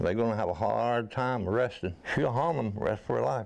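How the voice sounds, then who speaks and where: Moderate-paced speech from a man, noticeable noise in the background. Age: 80s+. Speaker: widower and burglary victim. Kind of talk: interview.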